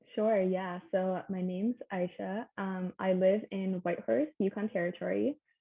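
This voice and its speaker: Her voice a plain, everyday voice, a woman speaks at a fairly slow pace in a medium pitch with ordinary pitch variation. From Canada. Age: 20s. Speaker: science student. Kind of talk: interview.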